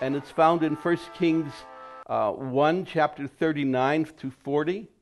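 Faint music plays behind a man who speaks with fairly even intonation. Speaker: interviewee. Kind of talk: interview answer. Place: home room. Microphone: lapel.

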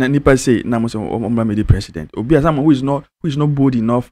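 A man at a fast pace, with a slightly mellow tone and ordinary pitch variation

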